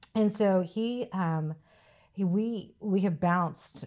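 A woman with a Southern US accent and a dark, mellow tone, ordinary pitch variation, on a very clean recording with a silent background. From US South, Mississippi. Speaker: safety director, army veteran. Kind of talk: interview.

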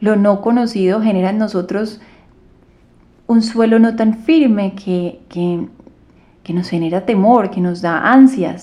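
Very slow and calm, a woman speaks in a dark, mellow tone with ordinary pitch variation and long, frequent pauses. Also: medium pitch for a woman. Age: 30s. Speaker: yoga and meditation teacher, podcast host. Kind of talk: solo podcast monologue.

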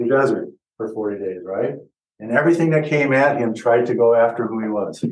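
A man talks in a plain, everyday voice at a medium pitch. His pace is fairly quick, with ordinary pitch variation. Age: 60s. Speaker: pastor. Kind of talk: sermon. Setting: church.

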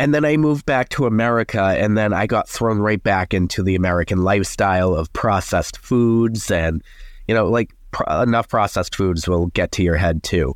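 A man talks with a Boston accent at a fairly quick pace. His voice is fairly low, with ordinary pitch variation. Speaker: paleontologist and science content creator. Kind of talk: casual interview chat.

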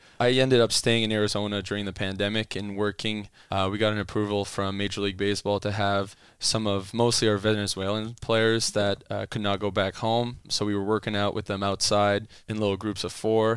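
A man speaks in a Franco-Ontarian accent, with a fairly low pitch and flat, monotone intonation at a fairly quick pace. The recording is very clean, with a silent background. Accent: Franco-Ontarian Canadian English. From Ottawa, Canada. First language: French. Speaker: baseball strength and conditioning coach. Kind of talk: casual interview.

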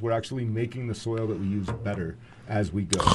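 Noticeable background noise under a man's voice at a medium pitch. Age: 40s. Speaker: cannabis dispensary representative. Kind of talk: casual chat. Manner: halting.

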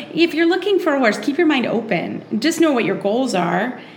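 A woman speaks at a moderate pace, her pitch swinging very widely. Background noise is noticeable. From Kentucky, Lexington. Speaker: dressage trainer and podcaster. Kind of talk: interview.

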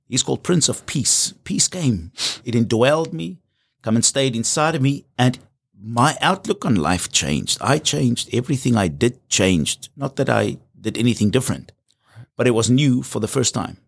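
A man's medium-pitched voice with vocal fry and very wide pitch swings, at a moderate pace, in a very clean recording with a silent background. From South Africa. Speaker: pastor. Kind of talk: testimony.

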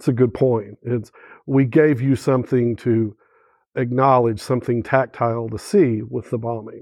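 With an Oklahoma accent, a man talks at a moderate pace and medium pitch, his intonation fairly even. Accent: Oklahoman Southern US. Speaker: political journalist and journalism teacher. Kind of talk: panel discussion.

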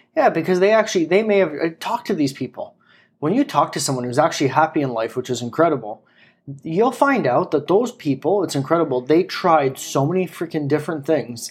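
A man with a normal speaking voice, fairly high pitch, lively intonation and a fairly quick pace. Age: 30s. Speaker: podcast co-host. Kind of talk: casual chat.

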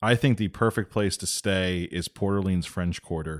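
A man with a plain, everyday voice, fairly low in pitch with ordinary pitch variation, on a very clean recording against a silent background. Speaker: podcast co-host. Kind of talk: scripted narration.

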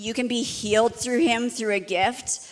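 Using a normal speaking voice, a woman talks at a moderate pace with fairly even intonation. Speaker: ministry school leader. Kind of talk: church panel discussion. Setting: stage with audience.

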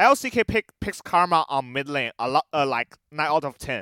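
A man with a Chinese accent, fairly high pitch and a bright, sharp tone, in a dry, close recording with no echo. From China. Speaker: esports caster. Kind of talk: casual interview. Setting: remote from an arena. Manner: halting, non-native English.

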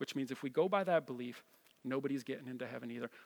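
With an American accent and ordinary pitch variation, a man talks on a very clean recording with a silent background. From New Jersey. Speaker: pastor. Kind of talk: sermon. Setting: church. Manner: animated.

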